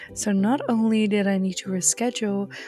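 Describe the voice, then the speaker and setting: Music sounds behind a woman with a European accent who speaks at a moderate pace. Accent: non-native English, European. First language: not English. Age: 20s. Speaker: video game roleplay content creator. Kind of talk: roleplay game narration.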